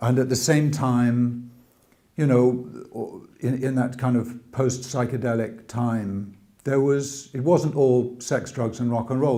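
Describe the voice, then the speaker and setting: A man with a British accent talks at a moderate pace and a medium pitch, his intonation fairly even. Audible room echo surrounds the recording. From England, boarding school; early childhood New York. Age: 60s. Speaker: religious convert telling his story. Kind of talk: testimony. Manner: hesitant, many fillers.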